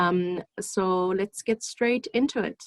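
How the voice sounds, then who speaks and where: A woman speaks at a medium pitch with ordinary pitch variation. It's an ordinary speaking voice, with a dry, close sound and no echo. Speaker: clinical psychologist. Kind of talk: online seminar presentation.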